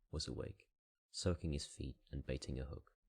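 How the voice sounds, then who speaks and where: A soft-spoken man with a European accent, a calm tone, vocal fry and a raspy edge. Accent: European non-native English. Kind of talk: audiobook reading. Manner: soft-spoken, calm.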